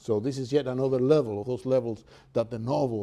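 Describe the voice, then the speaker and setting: A man with a Cuban accent and a dark, mellow tone. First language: Spanish. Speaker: professor. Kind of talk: lecture; reading aloud. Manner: halting, many fillers.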